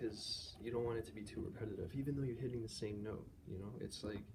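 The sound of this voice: Speaking at a very fast pace, a man with a fairly low pitch and vocal fry keeps his intonation fairly even.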